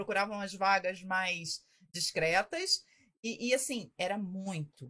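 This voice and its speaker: A woman speaks very slowly with lively intonation, a medium pitch, and a bright, sharp tone. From Rio de Janeiro, Brazil. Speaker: parking industry consultant. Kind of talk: casual interview.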